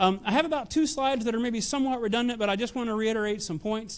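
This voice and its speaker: A man speaks with a Nashville accent. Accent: Southern US (Nashville). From US South, Nashville, Tennessee. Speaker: technology executive. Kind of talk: conference talk. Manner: hesitant, many fillers.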